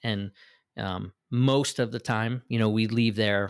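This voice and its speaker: A man with an ordinary speaking voice talks at a fairly slow pace with fairly even intonation, in a dry, close sound with no echo. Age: 40s. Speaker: business owner and gym client. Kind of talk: casual interview.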